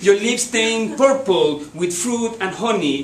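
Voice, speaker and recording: A man with a high voice talks at a very slow pace, with noticeable background noise and audible room echo. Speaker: poetry reader. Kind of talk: reading aloud.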